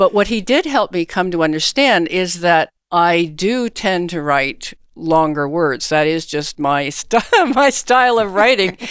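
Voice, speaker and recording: In a very clean recording with a silent background, a woman with a Canadian accent uses a normal speaking voice at a fairly low pitch. She talks at a fairly slow pace with lively intonation. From Canada. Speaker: author. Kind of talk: interview.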